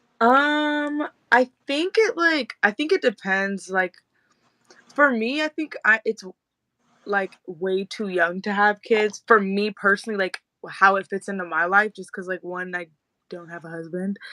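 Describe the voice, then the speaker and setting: A woman's bright, sharp voice in an American accent at a medium pitch, fairly slow pace, lively intonation and big swings in loudness, in a dry, close sound with no echo. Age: 20s. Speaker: content creator. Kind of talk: casual chat. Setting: live video stream.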